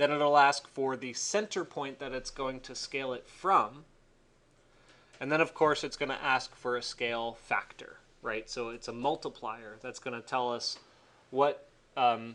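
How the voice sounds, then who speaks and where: A man's bright, sharp voice at a medium pitch, fairly slow, with big swings in loudness and ordinary pitch variation. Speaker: architecture instructor. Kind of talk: tutorial. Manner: casual, hesitant with fillers.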